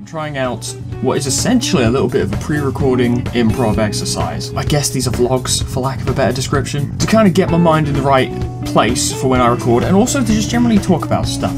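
A man speaks with clear music in the background. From England. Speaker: let's player, video maker. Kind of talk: casual talk to camera. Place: home room. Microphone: webcam.

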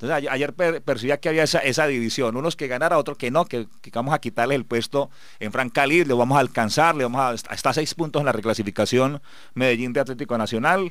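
A man speaks at a very fast pace with ordinary pitch variation, his dry sound having no echo against a quiet background. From Colombia, Antioquia. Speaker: radio sports show host. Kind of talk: sports radio talk show. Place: studio.

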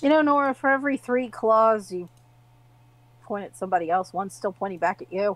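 A woman with an unremarkable speaking voice talks at a fairly quick pace and a fairly high pitch, with big swings in loudness. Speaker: player in the game. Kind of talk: tabletop RPG session, casual banter.

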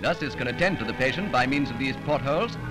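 A man talks at a very fast pace in a fairly high pitch. Clear music plays in the background. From England. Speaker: newsreel narrator. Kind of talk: newsreel narration. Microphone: old recording.

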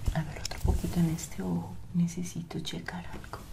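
Amid noticeable background noise, a woman speaks with big swings in loudness. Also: moderate pace. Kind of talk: ASMR role-play, soft spoken. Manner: soft close ASMR whisper.

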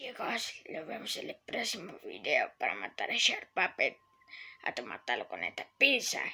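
Someone talks in a cartoonish character voice at a moderate pace. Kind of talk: puppet video talk to viewers.

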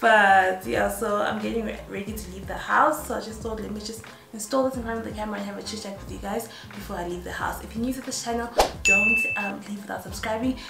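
A woman at a fairly quick pace over loud background noise. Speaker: beauty vlogger. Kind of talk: casual vlog chat.

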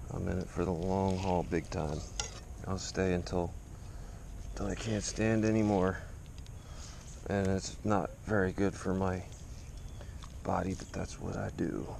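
A man talks at a very deep, low pitch and a fairly slow pace, with long, frequent pauses and fairly even intonation. The sound is dry with no echo, over light background noise. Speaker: fishing video creator. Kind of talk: casual tutorial. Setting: outdoors. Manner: casual, rambling. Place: garden. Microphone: camera far.

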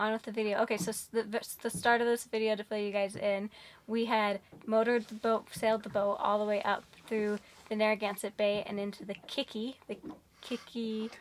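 A woman speaks at a fairly quick pace in a monotone, flat delivery over light background noise. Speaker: sailing vlogger. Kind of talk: casual vlog chat. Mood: relaxed, cheerful. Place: boat. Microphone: phone near.

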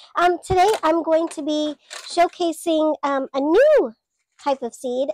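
A squeaky woman's voice at a fairly slow pace, dry with no echo, against a quiet background. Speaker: gardener. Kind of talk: casual talk to camera. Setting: greenhouse. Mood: warm, friendly. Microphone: lapel.

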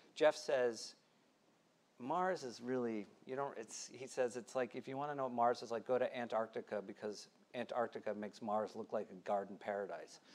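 His pitch shifts in an ordinary way. The man keeps a moderate pace throughout. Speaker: author on commercial space; panelist. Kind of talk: panel discussion. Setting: stage with live audience. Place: stage.

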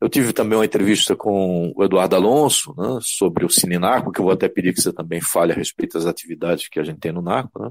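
Very deep and low in pitch, a man races along at a very fast pace with hardly any pauses. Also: ordinary pitch variation. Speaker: community radio host. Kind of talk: radio interview.

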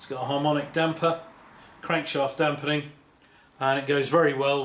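With light background noise behind him, a man speaks in a flat monotone. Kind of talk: show-and-tell walkaround commentary. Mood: proud, calm. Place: garage.

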